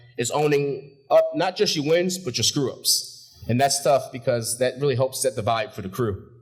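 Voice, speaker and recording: With hardly any pauses, a man speaks at a moderate pace in a fairly high pitch, showing ordinary pitch variation and a somewhat breathy quality. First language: not English. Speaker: graduate speaker, shipyard supervisor. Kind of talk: graduation speech. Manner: casual, with filler words.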